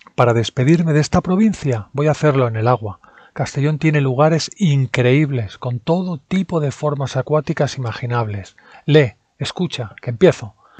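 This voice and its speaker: A man talks at a moderate pace in a fairly high, somewhat breathy voice with ordinary pitch variation, and the sound is dry and close with no echo over a quiet background. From Spain, Barcelona. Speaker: language-learning podcaster. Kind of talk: scripted narration.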